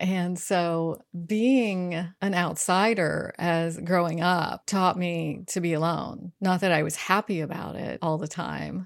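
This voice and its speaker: Speaking at a very slow pace, a woman with an American accent uses a fairly low pitch and fairly even intonation. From US South, rural North Carolina. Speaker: adventure travel writer and motorcyclist. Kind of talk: interview.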